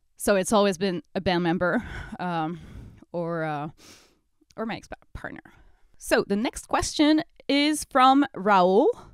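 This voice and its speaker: A woman with a French accent, her pitch swinging very widely, with long, frequent pauses in a dry, close sound with no echo. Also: medium pitch for a woman, fairly slow pace. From France. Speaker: metal band singer. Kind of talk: Q&A video monologue. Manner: hesitant, many fillers.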